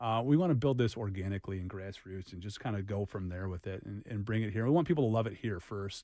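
Very fast and with hardly any pauses, a man speaks in an American accent with a dark, mellow tone and ordinary pitch variation. His loudness swings widely against a quiet background. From Boston. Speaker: business owner. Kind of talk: radio interview.

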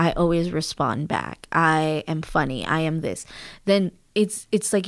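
A woman with a plain, everyday voice speaks at a fairly low pitch with ordinary pitch variation on a very clean recording with a silent background. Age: 30s. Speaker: spiritual healer and Akashic Records reader. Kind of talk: casual interview conversation.

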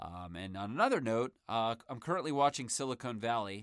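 A man talks in an ordinary speaking voice, fairly low, with ordinary pitch variation. The pace is moderate, and the recording is very clean with a silent background. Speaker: sports podcast host. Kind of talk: sports podcast commentary. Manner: casual, conversational.

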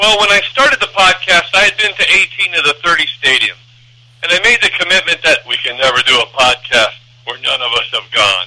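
Fairly quick speech from a man with an American accent, noticeable noise behind him. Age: 50s. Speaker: baseball podcaster. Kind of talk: casual interview chat.

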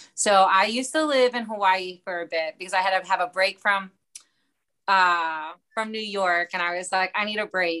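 A woman speaks with a slight Baltimore accent and a bright, sharp tone. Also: medium pitch for a woman, ordinary pitch variation, moderate pace. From US, Baltimore. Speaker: comedian. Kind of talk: casual chat. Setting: podcast interview.

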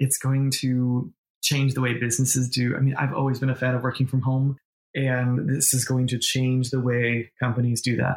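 A man with an American accent, somewhat breathy, at a medium pitch and moderate pace, with monotone, flat intonation and very even loudness. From New York. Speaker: medium and intuitive business coach. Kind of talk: casual interview chat.

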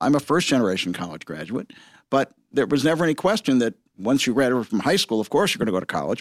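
A medium-pitched man with a Midwestern American accent, in a very clean recording with a silent background and a dry, close sound with no echo. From Michigan, Detroit area. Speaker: entrepreneur, cinema chain founder. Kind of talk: interview.

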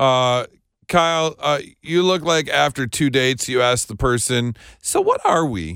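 In a very clean recording with a silent background, a man with a normal speaking voice talks at a medium pitch and a fairly slow pace, his intonation lively. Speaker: radio host. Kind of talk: casual chat.

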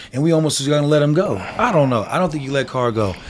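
Noticeable background noise sits behind the voice. It carries an American accent. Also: man. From Denver. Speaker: sports talk podcast co-host. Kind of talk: heated sports debate.

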